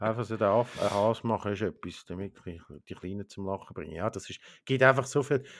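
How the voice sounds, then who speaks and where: A man with an ordinary speaking voice talks at a fairly quick pace, his pitch fairly low with ordinary variation. His loudness swings widely in a very clean recording with a silent background. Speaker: podcast co-host. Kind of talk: casual chat. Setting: home.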